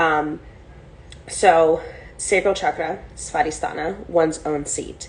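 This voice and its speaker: Very slowly, a woman speaks in a room with audible echo. Noticeable background noise is also present. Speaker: spiritual teacher. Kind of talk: online class lecture.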